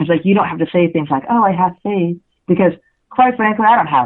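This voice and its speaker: A woman's ordinary speaking voice, fairly low in pitch, with lively intonation at a fairly quick pace. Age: 40s. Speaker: journalist and author. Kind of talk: interview. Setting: radio show. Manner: casual, filler-heavy.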